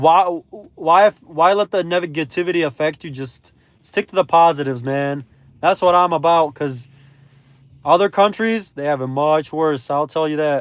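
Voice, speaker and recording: With an ordinary speaking voice, a man talks at a moderate pace in a fairly high pitch, with ordinary pitch variation and big swings in loudness. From Belarus, moved to US at age 3. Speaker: gig delivery driver streamer. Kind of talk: casual live stream chat.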